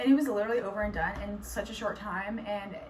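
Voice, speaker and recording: There is noticeable background noise and audible room echo. A woman talks at a fairly quick pace with a fairly high pitch and ordinary pitch variation. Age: 20s. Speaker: nursing student vlogger. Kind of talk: casual vlog. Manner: casual, filler-heavy.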